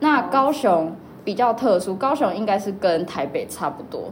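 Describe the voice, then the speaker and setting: Noticeable background noise and audible room echo surround the recording. A woman speaks with a Taiwanese accent and lively intonation. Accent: Taiwanese Mandarin. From Taiwan, Kaohsiung. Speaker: podcast host, university student. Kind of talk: casual chat.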